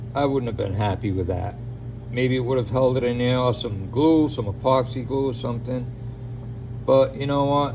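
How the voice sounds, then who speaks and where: With a Boston accent, a man speaks at a moderate pace in a medium pitch and with fairly even intonation, amid audible room echo and noticeable background noise. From New England, Boston area. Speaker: DIY mechanic. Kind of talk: tutorial. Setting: home garage. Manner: casual, conversational.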